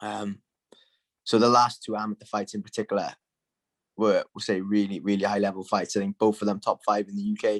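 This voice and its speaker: A man with a Welsh accent speaks in a fairly low, monotone voice with flat intonation at a fairly quick pace, the sound dry and close with no echo. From Wales. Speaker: MMA fighter. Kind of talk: casual interview. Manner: casual, filler-heavy.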